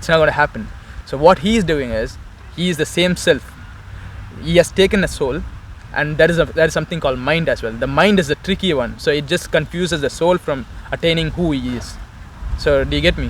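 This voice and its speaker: A man talks at a fairly quick pace with a Tamil accent. His speech has long, frequent pauses. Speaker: Osho follower, interviewee. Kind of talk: street conversation about faith. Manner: halting, many fillers.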